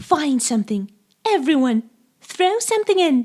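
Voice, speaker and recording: In a put-on character voice, a female-sounding speaker uses a high pitch with very wide pitch swings. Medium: read story.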